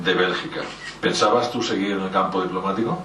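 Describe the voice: In a room with audible echo, a man talks at a low pitch with a fairly bright tone.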